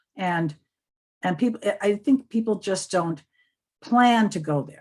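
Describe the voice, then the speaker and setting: A woman's somewhat breathy voice at a medium pitch, with lively intonation and a fairly slow pace. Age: 70s. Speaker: social media tutor. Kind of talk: interview.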